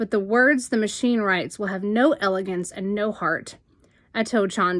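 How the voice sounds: The speaker uses a natural reading voice. That is how the clip sounds.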